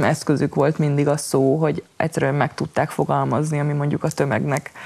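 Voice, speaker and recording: Speaking at a moderate pace, the woman has a very deep, low pitch and fairly even intonation. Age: 20s. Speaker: poet, writer, slam poet. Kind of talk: interview answer. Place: studio.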